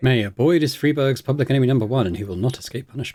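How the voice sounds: A man's fast-paced voice at medium pitch, dark, mellow in tone, with ordinary pitch variation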